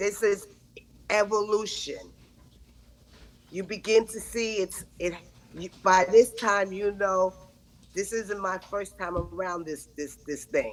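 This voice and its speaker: A woman with a medium pitch speaks at a very slow pace, leaving long, frequent pauses. Her intonation is fairly even, while her loudness swings widely. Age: 70s. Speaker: women's empowerment speaker. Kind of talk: conversational podcast interview.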